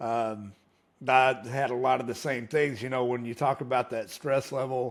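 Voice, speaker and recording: In a normal speaking voice, a man talks at a fairly quick pace and medium pitch with fairly even intonation. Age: 40s. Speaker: podcast host. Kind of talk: interview.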